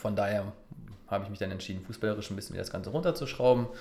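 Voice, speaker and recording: Audible room echo surrounds a man whose pitch is fairly low. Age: 30s. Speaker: football referee. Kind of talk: interview.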